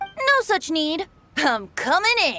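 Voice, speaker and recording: Over background music, a cartoonish character voice squeaks at an extremely high pitch with very wide pitch swings. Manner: jaunty.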